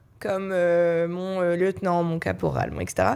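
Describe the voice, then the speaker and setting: A woman's medium-pitched voice comes through on a very clean recording, the background silent. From France, Paris. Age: 20s. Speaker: youth association director. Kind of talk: panel discussion.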